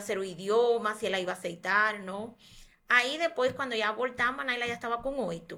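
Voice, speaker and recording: Lively intonation runs through a woman's bright, sharp tone. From Cuba. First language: Spanish (speaking Portuguese). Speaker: doctor. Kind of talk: podcast interview.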